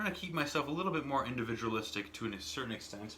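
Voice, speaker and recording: The speech moves at a fairly quick pace in an American accent. Noticeable background noise and audible room echo are present. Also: man. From US. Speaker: YouTuber reviewing cigarettes. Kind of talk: casual vlog monologue. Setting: home smoking room with window open. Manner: halting, many fillers and repeats.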